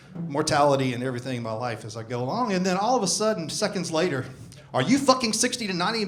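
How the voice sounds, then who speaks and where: In a Southern US accent, a man speaks at a very fast pace and a high pitch, with very wide pitch swings and audible room echo. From US South. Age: 60s. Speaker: stand-up comedian. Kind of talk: stand-up. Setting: stage with audience.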